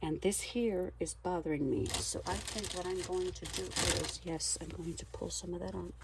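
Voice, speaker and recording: A woman talks at a moderate pace with hardly any pauses. Noticeable background noise and audible room echo are present in the recording. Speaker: craft video creator. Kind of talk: crafting tutorial. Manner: casual, animated; louder after standing up.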